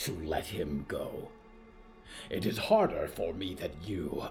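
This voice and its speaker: Over clear music in the background, a man uses a put-on character voice, growling in a solemn tone at a fairly slow pace. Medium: audio drama. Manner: growling, solemn.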